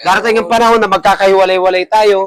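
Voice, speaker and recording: A man talks loudly at a very fast pace. His intonation stays fairly even. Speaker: barbershop owner and barber mentor. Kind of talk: farewell speech to staff. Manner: loud voice.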